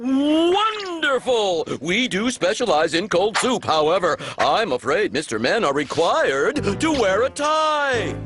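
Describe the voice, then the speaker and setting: A cartoonish character voice, fairly high in pitch, at a fairly slow pace with hardly any pauses, over clear music in the background. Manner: upbeat, enthusiastic.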